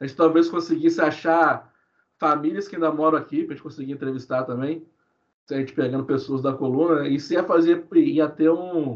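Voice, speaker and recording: A man with a normal speaking voice talks at a fairly quick pace and fairly high pitch. His pitch varies in an ordinary way while his loudness swings a lot. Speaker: history researcher. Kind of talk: podcast interview.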